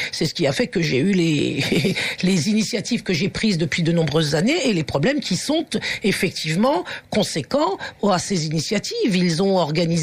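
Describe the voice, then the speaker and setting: A woman with a fairly low pitch speaks at a moderate pace, her intonation lively and her loudness very even. Background noise is noticeable. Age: 60s. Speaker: teacher and activist. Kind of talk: radio interview. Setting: radio studio. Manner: halting, many hesitations; forceful.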